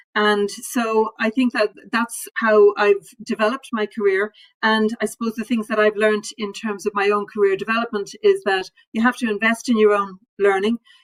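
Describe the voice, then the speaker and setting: A woman with an Irish accent, fairly high in pitch, at a moderate pace, in a monotone, flat intonation, with a dry, close sound and no echo. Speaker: civil servant. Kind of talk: panel discussion.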